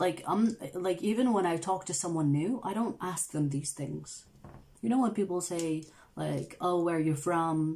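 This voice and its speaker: A woman's fairly low, dark and mellow voice at a fairly slow pace, with ordinary pitch variation. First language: not English. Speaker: tarot reader, channel host. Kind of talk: casual livestream chat, reading viewer comments. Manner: casual, filler-heavy.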